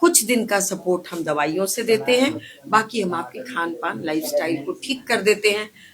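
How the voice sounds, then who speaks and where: Very wide pitch swings at a moderate pace with hardly any pauses, over noticeable background noise. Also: woman, medium pitch for a woman. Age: 60s. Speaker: ayurvedic doctor running a clinic. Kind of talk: interview. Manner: animated.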